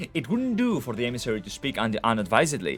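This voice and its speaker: Over music in the background, a speaker with a Greek accent talks at a very fast pace with very wide pitch swings. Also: man. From Greece. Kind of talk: short story reading.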